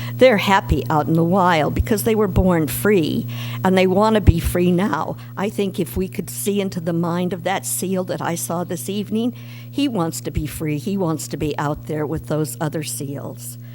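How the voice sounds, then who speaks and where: Over music in the background, a woman with a very deep, low pitch speaks with very wide pitch swings. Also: moderate pace. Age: 60s. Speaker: public commenter. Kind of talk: public comment at a city board meeting. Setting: public meeting at a lectern.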